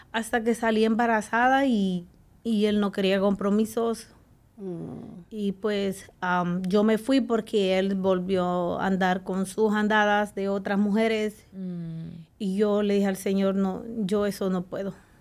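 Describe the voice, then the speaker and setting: A woman with a Salvadoran accent at a very slow pace, flat and monotone in intonation. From El Salvador. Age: 40s. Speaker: guest sharing her life story; guest. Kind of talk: testimony. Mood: earnest, emotional personal testimony. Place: studio. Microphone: studio mic.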